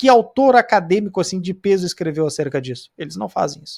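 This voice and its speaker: On a very clean recording with a silent background, a man talks at a high pitch and fairly quick pace with very wide pitch swings. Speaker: Bible study teacher. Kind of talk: lecture. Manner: fast; animated.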